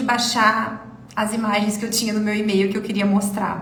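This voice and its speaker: Amid noticeable background noise and audible room echo, a woman speaks fairly quickly in an animated tone. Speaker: dentistry exam mentor. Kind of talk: live mentoring class. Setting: live stream. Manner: fast.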